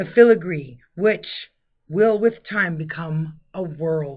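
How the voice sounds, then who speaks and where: Somewhat breathy and fairly low in pitch, a woman speaks at a very slow pace with ordinary pitch variation. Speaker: audiobook narrator. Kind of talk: audiobook narration, literary fiction reading.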